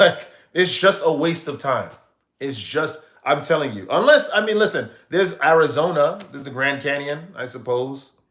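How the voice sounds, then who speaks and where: A man with an American accent speaks in an animated tone at a moderate pace, his fairly high voice showing ordinary pitch variation. His loudness swings widely, and room echo is audible. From United States. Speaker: streamer. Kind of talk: live stream chat.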